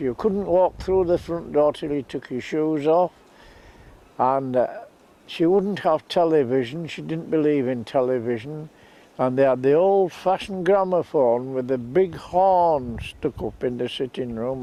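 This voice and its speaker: A man with a Yorkshire accent speaks at a fairly high pitch with ordinary pitch variation. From northern England, Scarborough, Yorkshire. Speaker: local storyteller. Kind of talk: reminiscing monologue.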